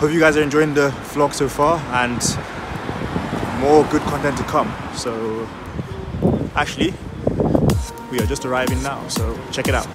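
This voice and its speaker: A man at a moderate pace with long, frequent pauses and ordinary pitch variation, dry sound with no echo, loud background noise behind him. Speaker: vlogger. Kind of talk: casual vlog chat. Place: street. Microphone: earbuds.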